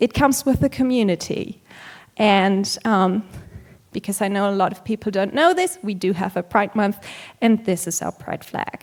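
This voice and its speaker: A German accent at a moderate pace with ordinary pitch variation. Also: woman. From Germany. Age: 20s. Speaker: vegan activist and conference speaker. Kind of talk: conference talk. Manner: hesitant, with frequent um fillers.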